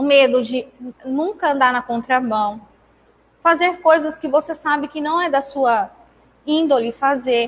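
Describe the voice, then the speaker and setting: High pitch and ordinary pitch variation in a woman's speech. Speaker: spiritist lecturer. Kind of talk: talk at a spiritist centre. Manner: relaxed, informal.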